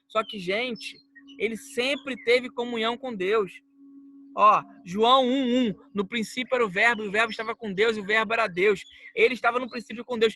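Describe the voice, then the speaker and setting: In a raised, projected voice at an extremely high pitch, a man speaks at a moderate pace with fairly even intonation and a dry, close sound with no echo. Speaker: preacher. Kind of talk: bible teaching.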